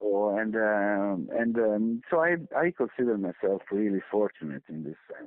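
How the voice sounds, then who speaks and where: With an Italian accent, a man talks at a fairly low pitch. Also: lively intonation, fairly slow pace, hardly any pauses. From Italy. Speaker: film composer. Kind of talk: interview. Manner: halting, with many repetitions.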